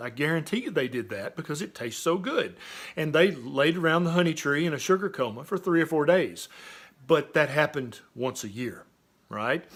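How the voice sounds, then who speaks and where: A man with an ordinary speaking voice talks at a moderate pace and a fairly high pitch, his intonation lively. The recording is very clean, with a silent background. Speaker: physician. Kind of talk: casual talk to camera.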